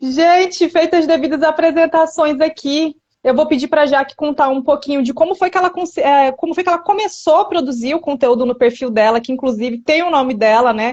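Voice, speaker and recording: Her pitch high and varying in an ordinary way, a woman talks at a fairly quick pace with hardly any pauses. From São Paulo state, Brazil. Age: 30s. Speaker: content creator and podcast host. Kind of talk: casual interview chat. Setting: Instagram live.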